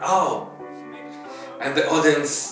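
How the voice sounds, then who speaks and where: A man talks at a fairly slow pace. Room echo is audible. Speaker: pianist and band musician. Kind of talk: documentary interview.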